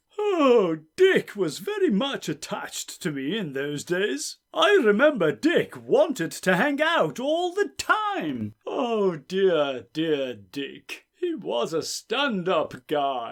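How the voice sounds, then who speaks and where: A man puts on a character voice pitched high. He delivers it at a very slow pace. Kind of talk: comic overacting. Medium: read story. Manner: crude, tetchy.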